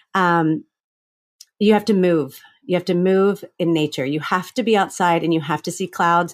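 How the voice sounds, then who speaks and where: A woman with an American accent speaks at a moderate pace with ordinary pitch variation, in an unremarkable speaking voice. The recording is very clean, with a silent background. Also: fairly low pitch for a woman. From Florida, US South. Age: 40s. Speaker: author and comedian. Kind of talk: interview about grief.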